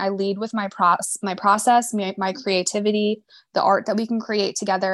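In a monotone, flat delivery with an American accent, a woman speaks over a very clean recording with a silent background. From Boston suburbs, Massachusetts. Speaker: photographer. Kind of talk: interview.

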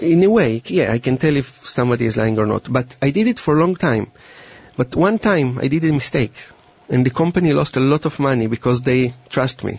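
A man with a medium pitch talks at a fairly quick pace, somewhat breathy and very even in loudness. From Israel. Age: young. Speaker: mentalist. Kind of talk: interview and live demonstration. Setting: studio. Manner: halting.

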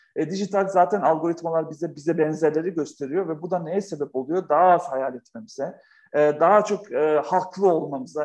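A man is talking with a fairly high pitch. The rise and fall of his voice is ordinary. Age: 40s. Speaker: author and company founder. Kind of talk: interview conversation. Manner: animated.

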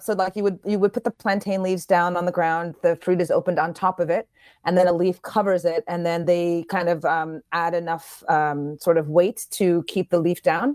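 With an American accent and an ordinary speaking voice, the speaker keeps a moderate pace, ordinary pitch variation, and hardly any pauses in a dry, close sound with no echo. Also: woman, fairly low pitch for a woman. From New York, US. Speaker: chef and chocolatier. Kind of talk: radio interview.

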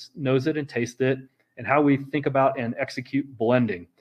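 In an unremarkable speaking voice with an American accent, the speaker keeps a fairly even intonation. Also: man. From Missouri, Kansas City. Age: 50s. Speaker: distillery founder and physician. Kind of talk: interview.

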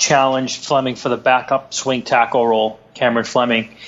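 A man with a strong Boston accent talks at a moderate pace over noticeable background noise. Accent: Boston, thick.

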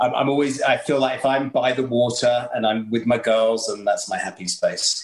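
Speaking with an English accent, a man keeps a moderate pace with hardly any pauses. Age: 50s. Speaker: chef and TV presenter. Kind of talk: casual chat.

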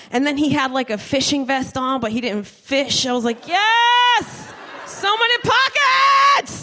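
In an American accent, a woman with a high pitch speaks at a fairly slow pace in a raised, projected voice with very wide pitch swings, with noticeable background noise. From New Jersey, Trenton. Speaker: stand-up comedian. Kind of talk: stand-up. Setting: stage with audience.

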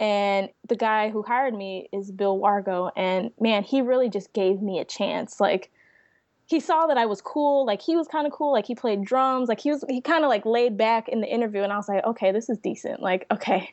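With an ordinary speaking voice, a woman speaks at a fairly high pitch with ordinary pitch variation. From Chicago area, US Midwest. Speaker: designer and brand manager. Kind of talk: interview.

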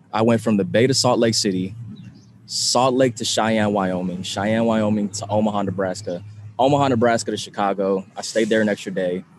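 A man speaks with an American accent at a fairly low pitch. His pace is fairly quick and his intonation fairly even. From California, San Francisco Bay Area. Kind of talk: casual interview. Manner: halting.

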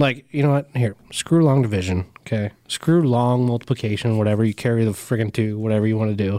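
A man with an American accent talks at a fairly quick pace with hardly any pauses, using a medium pitch, ordinary pitch variation and very even loudness, his dark, mellow tone captured as a dry, close sound with no echo on a very clean recording with a silent background. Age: 30s. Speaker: diesel podcast co-host. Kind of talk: casual chat.

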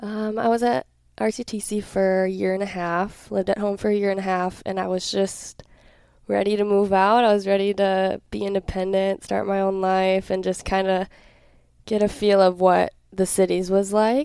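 A dark, mellow tone in an Upper Midwest accent, at a moderate pace with monotone, flat intonation. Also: woman, medium pitch for a woman. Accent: Upper Midwest (Minnesota). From southern Minnesota (Hayfield, near Rochester). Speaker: college volleyball player. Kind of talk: interview.

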